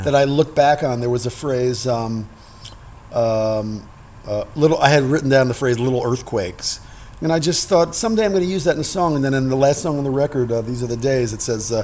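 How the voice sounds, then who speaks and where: The speech moves at a fairly quick pace with ordinary pitch variation, and noticeable background noise sits behind it. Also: man, medium pitch for a man. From New York. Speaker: singer-songwriter and pianist. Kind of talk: interview answer. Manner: candid, reflective.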